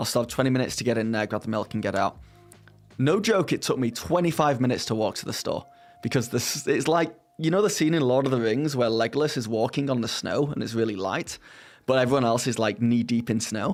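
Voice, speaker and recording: A man talks at a very fast pace in a British accent. Noticeable background noise runs behind him. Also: medium pitch for a man, ordinary pitch variation. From Britain. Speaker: streamer. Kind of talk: casual chat. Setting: live stream.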